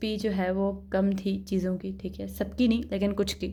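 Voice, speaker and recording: A woman's voice with a dark, mellow tone. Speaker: beauty and product review vlogger. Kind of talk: product review vlog. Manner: casual, conversational.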